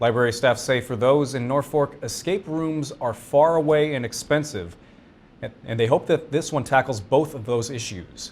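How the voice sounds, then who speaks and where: With an American accent, a man talks in an unremarkable speaking voice at medium pitch and a moderate pace, with ordinary pitch variation. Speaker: TV news anchor and reporter. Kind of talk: TV news anchoring.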